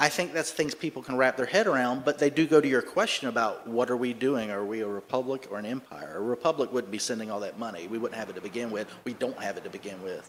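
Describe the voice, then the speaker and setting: A man talks at a very fast pace with a Southern US accent. His pitch sits in the medium range with ordinary variation. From US South, Charleston, South Carolina. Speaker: political commentator. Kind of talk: conference talk with Q&A.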